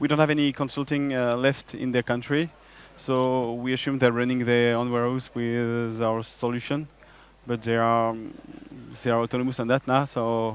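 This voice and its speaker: With a French accent, a man talks at a moderate pace and medium pitch in monotone, flat intonation. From France. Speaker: software business developer. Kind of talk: conference stage interview.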